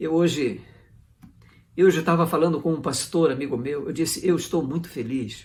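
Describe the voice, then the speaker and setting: In a room with audible echo, a man with a fairly high pitch talks at a moderate pace with ordinary pitch variation and long, frequent pauses. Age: 60s. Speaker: pastor. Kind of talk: sermon. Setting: online church service video.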